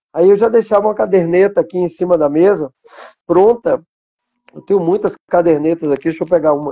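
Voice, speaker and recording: A man speaks at a high pitch and a fairly quick pace, with a dark, mellow tone. His loudness swings widely, and the sound is dry and close with no echo. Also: ordinary pitch variation. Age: 60s. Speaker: journalist and biographer. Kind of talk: interview on a live stream.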